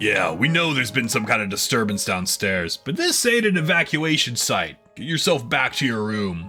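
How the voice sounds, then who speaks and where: A man in a gravelly put-on character voice, medium in pitch, at a moderate pace with faint music in the background. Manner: harsh, curt.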